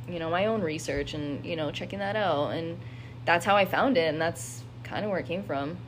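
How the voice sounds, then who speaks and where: A woman talks at a fairly quick pace and fairly low pitch with lively intonation, with audible room echo around her. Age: 20s. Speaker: insurance worker sharing mental health story. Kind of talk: personal testimony.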